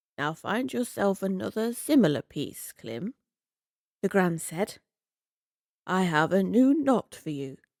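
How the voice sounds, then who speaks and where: With a calm, gentle tone, a woman speaks at a fairly slow pace with very wide pitch swings and long, frequent pauses, in a very clean, dry, close recording with no echo and a silent background. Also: medium pitch for a woman. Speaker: narrator. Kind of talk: sleep story. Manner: soft-spoken.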